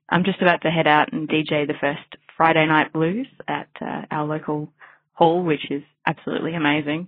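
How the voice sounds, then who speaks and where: At a moderate pace, a woman speaks in an Australian accent with a very deep, low pitch. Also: fairly even intonation. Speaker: blues dance DJ, listener. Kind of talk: voicemail message. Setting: phone message.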